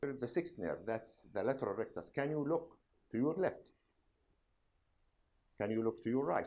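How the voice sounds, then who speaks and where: A man with an Arabic accent speaks at a medium pitch, in a dark, mellow tone with vocal fry. His intonation is lively. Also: moderate pace. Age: old. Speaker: doctor, medical professor. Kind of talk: medical examination demonstration.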